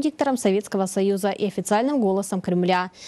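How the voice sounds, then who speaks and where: Talking at a very fast pace with lively intonation, a woman has a dark, mellow tone, and the sound is dry and close with no echo. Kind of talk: TV news feature narration.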